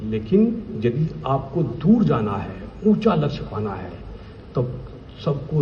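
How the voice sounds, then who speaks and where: A man with a Bihari accent uses very wide pitch swings, with noticeable background noise and audible room echo. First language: Bhojpuri (speaking Hindi). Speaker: vigilance officer. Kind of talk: speech at official event. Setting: stage with audience. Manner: emphatic.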